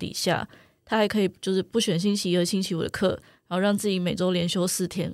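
A woman speaks in an ordinary speaking voice at medium pitch with fairly even intonation, captured on a very clean recording with a silent background. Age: 20s. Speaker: writer. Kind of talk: interview conversation.

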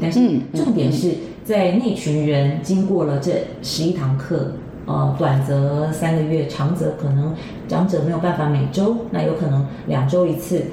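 A woman talks fairly slowly in a very deep, low voice with ordinary pitch variation. Noticeable background noise and audible room echo fill the recording. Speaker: foundation director. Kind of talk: interview. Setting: studio.

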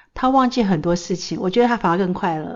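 A normal speaking voice, its pitch varying in an ordinary way. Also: woman. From Taiwan. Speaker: pharmaceutical researcher and mental health educator. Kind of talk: casual chat. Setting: studio.

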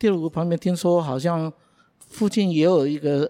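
A dark, mellow voice speaks at a moderate pace with ordinary pitch variation on a very clean recording with a silent background. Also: man. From Taiwan, Beitou in Taipei. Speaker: local resident co-host. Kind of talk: casual chat.

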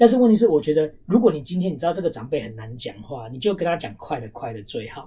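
A man speaks very fast with hardly any pauses, his fairly high pitch swinging very widely. His loudness also rises and falls in big swings. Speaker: podcast co-host. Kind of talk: casual chat.

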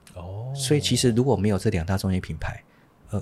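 In a very clean recording with a silent background, a man speaks in a dark, mellow, somewhat breathy tone with ordinary pitch variation. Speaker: real estate executive. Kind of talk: casual interview.

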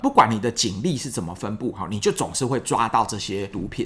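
This man talks with very wide pitch swings. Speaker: psychiatrist podcast host. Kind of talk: solo science explainer. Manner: conversational with frequent fillers.

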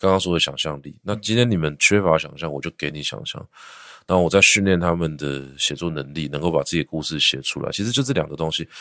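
A man's very deep, low-pitched voice with a bright, sharp tone, ordinary pitch variation and a very fast pace, in a very clean recording over a silent background. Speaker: teacher and education entrepreneur. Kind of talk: interview.

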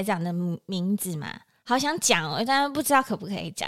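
A woman's voice at medium pitch, bright and sharp in tone, with very wide pitch swings. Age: 30s. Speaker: podcast co-host. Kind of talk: casual chat.

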